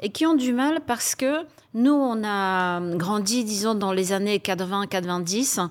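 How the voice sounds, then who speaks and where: A woman speaks with a Polish accent. Her pitch sits in the medium range. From Poland. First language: Polish (speaking French). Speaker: HR executive. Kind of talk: panel discussion.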